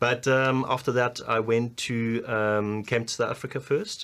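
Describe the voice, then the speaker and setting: A man with a German accent talks at a moderate pace with fairly even intonation. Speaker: business strategy consultant. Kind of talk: interview. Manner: hesitant, many fillers.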